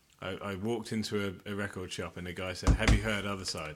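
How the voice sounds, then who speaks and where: Here a man speaks with an English accent at a moderate pace. His pitch is fairly low and his intonation fairly even. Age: 40s. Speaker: podcast co-host. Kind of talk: casual chat.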